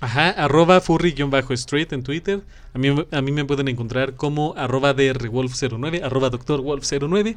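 A man speaks fairly slowly in a Mexican accent. His voice sits fairly high. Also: ordinary pitch variation. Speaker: podcast co-host. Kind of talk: casual chat. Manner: animated.

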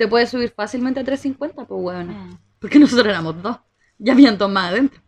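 A woman with a normal speaking voice, fairly high in pitch, with ordinary pitch variation. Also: fairly quick pace. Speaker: podcast co-host. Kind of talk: casual chat.

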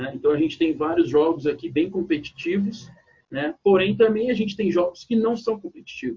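At a moderate pace, the voice carries lively intonation. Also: man, high pitch for a man. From southern Brazil, Porto Alegre. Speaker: youth basketball coach. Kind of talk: casual interview.

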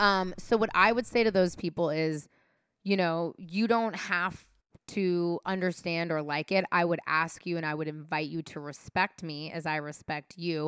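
With an American accent, a woman talks at a moderate pace in a fairly low voice with ordinary pitch variation, the sound dry and close with no echo. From San Francisco, California. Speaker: producer and on-air host. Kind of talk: casual chat.

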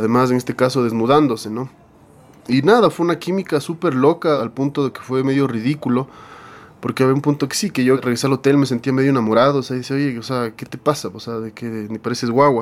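This man has a medium-pitched voice with ordinary pitch variation and talks at a very fast pace. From Ecuador, Quito. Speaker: rock band singer and guitarist. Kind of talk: interview storytelling.

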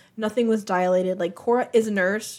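At a moderate pace, a woman speaks in an unremarkable speaking voice at medium pitch with ordinary pitch variation. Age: 20s. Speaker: podcast co-host. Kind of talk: casual chat.

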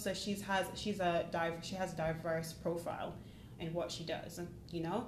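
Someone speaks at a moderate pace, with noticeable background noise and audible room echo. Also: woman. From Jamaica, then Northampton, England. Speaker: IT service delivery analyst. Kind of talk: casual interview chat.

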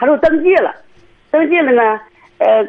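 Very wide pitch swings run through what a woman says. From Cangzhou, Hebei. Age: 60s. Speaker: caller seeking family advice. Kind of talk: phone-in call.

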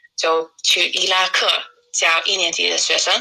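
The pace of this woman's speech is fairly slow. She has an English accent. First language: English (speaking Chinese). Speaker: English teacher and traveller. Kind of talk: casual interview. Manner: halting, with repeated words and fillers.

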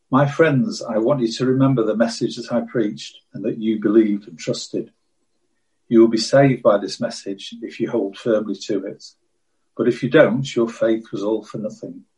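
With big swings in loudness, a man speaks at a moderate pace and medium pitch, somewhat breathy, in a dark, mellow tone with fairly even intonation. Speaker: scripture reader.

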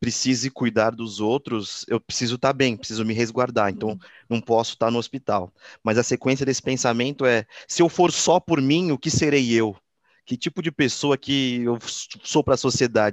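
In a dry, close sound with no echo, an unremarkable speaking voice keeps a moderate pace and ordinary pitch variation. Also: man, medium pitch for a man. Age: 20s. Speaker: podcast host. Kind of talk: casual interview.

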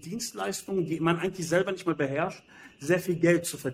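Pitched fairly high for a man, this unremarkable speaking voice belongs to a male speaker whose pitch varies in an ordinary way. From Germany, Berlin. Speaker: entrepreneur and finance advisor. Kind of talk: interview.

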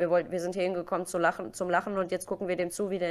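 Talking at a very fast pace, a woman holds a monotone, flat intonation at a fairly low pitch. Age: 30s. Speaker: Twitch streamer. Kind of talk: casual interview.

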